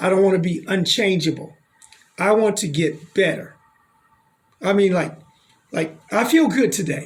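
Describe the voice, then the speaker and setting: A man with an American accent speaks in a high voice, leaving long, frequent pauses. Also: ordinary pitch variation, moderate pace. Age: 60s. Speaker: doctor and health show host. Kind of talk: radio talk show conversation.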